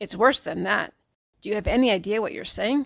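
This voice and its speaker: A woman puts on a raspy character voice. She talks at a fairly quick pace. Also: fairly high pitch for a woman. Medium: read story. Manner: warm, chatty.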